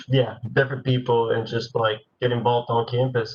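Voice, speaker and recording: Somewhat breathy, a man speaks at a medium pitch. His intonation is monotone and flat. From Nicaragua. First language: Spanish. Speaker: university student. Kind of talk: panel Q&A.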